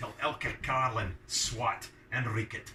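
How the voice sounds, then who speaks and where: Over noticeable background noise, a man speaks with a Scottish accent. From Scotland. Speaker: fiddler. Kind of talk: poetry reading. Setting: pub.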